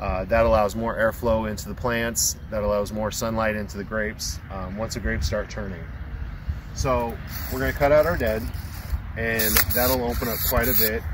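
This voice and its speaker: Moderately paced male speech against clearly audible background noise. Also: fairly low pitch for a man, dry sound with no echo. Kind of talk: tutorial. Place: open country. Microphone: camera far.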